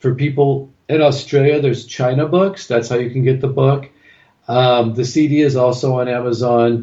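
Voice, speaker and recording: Speaking with a West Coast American accent, a man has a medium pitch, a somewhat breathy voice, fairly even intonation and very even loudness. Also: moderate pace. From California. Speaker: acupuncturist and teacher. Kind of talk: interview.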